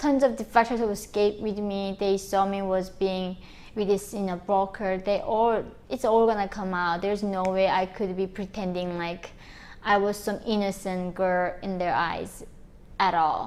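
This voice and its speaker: A woman at medium pitch speaks with a North Korean accent. Her pace is moderate and her intonation fairly even. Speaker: North Korean defector and activist. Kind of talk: personal testimony to camera.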